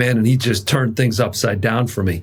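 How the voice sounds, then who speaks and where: A man speaks at a medium pitch with fairly even intonation. His voice is somewhat breathy. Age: 60s. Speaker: executive coach. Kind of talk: interview.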